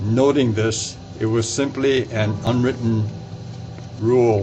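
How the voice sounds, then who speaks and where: With music in the background and audible room echo, a man speaks at a very slow pace. His American accent comes with monotone, flat intonation. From Alameda, California. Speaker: retired entomologist. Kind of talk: personal memoir narration.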